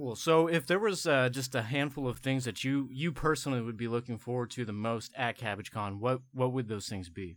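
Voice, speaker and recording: A man's unremarkable speaking voice at medium pitch, fairly quick, with ordinary pitch variation and hardly any pauses. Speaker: podcast host.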